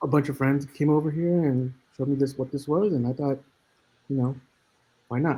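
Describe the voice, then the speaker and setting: A man's fairly high-pitched, somewhat breathy voice with a dark, mellow tone, fairly even intonation, a fairly quick pace and long, frequent pauses. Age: 40s. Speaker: video game developer. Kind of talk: casual self-introduction. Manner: halting with many fillers.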